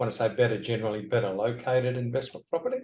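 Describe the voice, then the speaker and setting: A man's somewhat breathy, medium-pitched voice in an Australian accent at a very fast pace. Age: 60s. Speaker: property lecturer. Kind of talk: interview.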